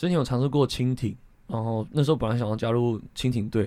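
A man's dark, mellow tone at a medium pitch and moderate pace, with ordinary pitch variation, on a very clean recording with a silent background. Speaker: swimming coach. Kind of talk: interview.

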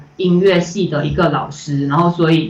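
The delivery is fairly quick with monotone, flat intonation, heard through audible room echo and noticeable background noise. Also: woman. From Malaysia. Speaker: animation director. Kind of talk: interview. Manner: hesitant, many fillers.

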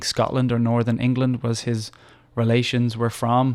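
On a very clean recording with a silent background, a man of medium pitch talks at a fairly quick pace with a slight Irish accent. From Ireland, Dublin. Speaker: English teacher and nonprofit founder. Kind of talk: interview. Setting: studio.

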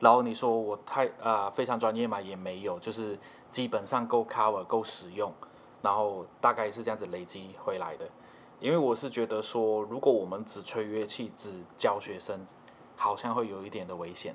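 In an ordinary speaking voice, a man with a fairly low pitch talks at a moderate pace, his intonation fairly even but his loudness swinging widely. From Malaysia. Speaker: trumpet player and music teacher. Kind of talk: casual interview chat.

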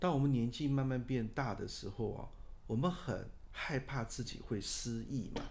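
A man speaks at a moderate pace with medium pitch and ordinary pitch variation. His voice is somewhat breathy, and the room echo is audible. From Taiwan, Taipei. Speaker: architect. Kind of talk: interview.

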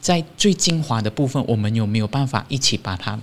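A man's medium-pitched voice with a Malaysian accent and ordinary pitch variation, on a very clean recording with a silent background. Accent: Malaysian Chinese. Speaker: Buddhist monastic. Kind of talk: interview. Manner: cheerful.

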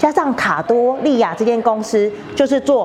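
Against noticeable background noise, a woman speaks with a fairly high pitch. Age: 40s. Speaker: tour guide at family food factory. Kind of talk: guided tour.

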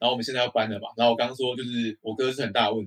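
A man talks with a Taiwanese accent. His pace is very fast. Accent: Taiwanese Mandarin. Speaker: podcast co-host. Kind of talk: casual chat. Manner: animated.

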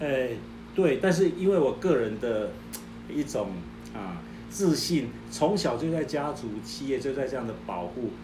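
Music plays in the background as a man speaks at a fairly slow pace with long, frequent pauses, audible room echo around his voice. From southern Taiwan. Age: 60s. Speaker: retired company chairman. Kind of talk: testimony.

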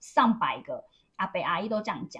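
A woman speaks in a Taiwanese accent, her voice fairly high-pitched and somewhat breathy. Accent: Taiwanese Mandarin. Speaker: podcast co-host, former telecom store worker. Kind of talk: casual chat.

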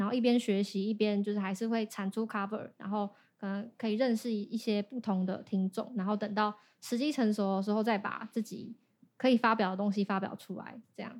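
Talking at a fairly quick pace, a woman holds a monotone, flat intonation at a fairly high pitch. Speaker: singer and YouTuber. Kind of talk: casual interview.

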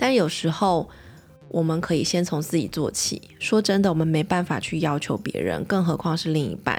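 A woman speaks at a moderate pace in a fairly low pitch, with vocal fry. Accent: Taiwanese. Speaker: podcast host and pediatrician. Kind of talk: casual monologue podcast.

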